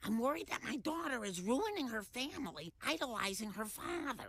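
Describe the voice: Using a cartoonish character voice, a female-sounding speaker talks at a moderate pace with a high pitch for a woman and very wide pitch swings.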